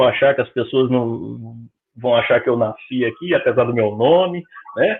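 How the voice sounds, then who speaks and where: A man speaks with a Brazilian accent at a moderate pace. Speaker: spiritist lecturer. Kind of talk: lecture. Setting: public meeting, streamed. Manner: conversational.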